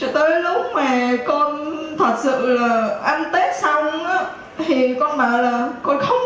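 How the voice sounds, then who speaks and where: With lively intonation and a high pitch, a woman's voice comes through light background noise and audible room echo. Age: 30s. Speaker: parishioner giving a healing testimony. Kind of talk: testimony. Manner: soft-spoken. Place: church.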